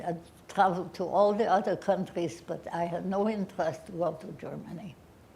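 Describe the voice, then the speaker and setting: The voice has fairly even intonation, heard with audible room echo. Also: woman. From Austria and Bulgaria (Vienna, Sofia). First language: German. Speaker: Holocaust survivor. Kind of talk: Q&A testimony. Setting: lecture hall with audience, live stream. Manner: halting.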